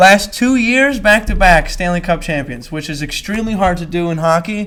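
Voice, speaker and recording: A man with a Philadelphia accent speaks at a moderate pace in an animated tone with ordinary pitch variation. Noticeable background noise is present. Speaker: podcast host. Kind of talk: casual chat.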